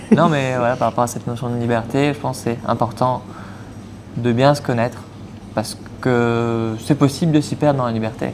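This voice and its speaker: Over noticeable background noise, a man talks with fairly even intonation and long, frequent pauses. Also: medium pitch for a man, moderate pace. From Mauritius. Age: 20s. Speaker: eco-association co-founder, traveler. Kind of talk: podcast interview.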